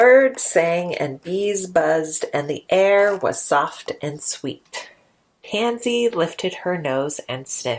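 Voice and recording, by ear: Reading aloud in a natural voice. The intonation is lively.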